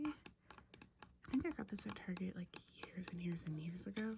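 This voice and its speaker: Amid noticeable background noise, a soft-spoken woman whispers at a fairly slow pace. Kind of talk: ASMR room tour, casual talk to camera. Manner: whispered, soft-spoken.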